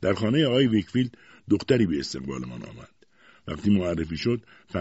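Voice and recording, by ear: The intonation is lively as a natural voice reads aloud.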